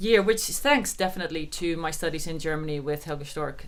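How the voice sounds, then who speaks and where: Her voice very deep and low, a woman speaks at a fairly quick pace with audible room echo. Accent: Dutch. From Netherlands. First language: Dutch. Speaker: harpist. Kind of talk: interview.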